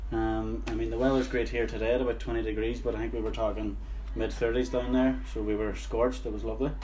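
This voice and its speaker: Very fast, monotone, flat delivery amid noticeable background noise and audible room echo. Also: man, very deep, low pitch for a man. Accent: Derry. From Northern Ireland, Derry. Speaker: friend of the host. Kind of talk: casual chat.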